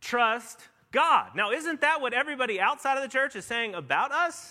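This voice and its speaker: A man uses a raised, projected voice with a bright, sharp tone. His intonation is lively. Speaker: pastor. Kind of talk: sermon. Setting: church. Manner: conversational, with fillers.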